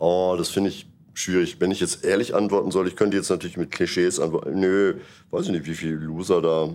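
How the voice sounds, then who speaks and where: A man speaks fairly quickly in a very deep, low voice with monotone, flat intonation. The recording is very clean, with a silent background. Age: 60s. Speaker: jazz musician and music teacher. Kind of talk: interview after a concert.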